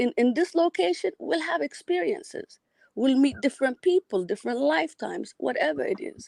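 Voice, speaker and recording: A woman speaks in an Ethiopian accent at a high pitch. Her pitch swings very widely. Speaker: caller to a live show. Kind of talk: casual call-in chat.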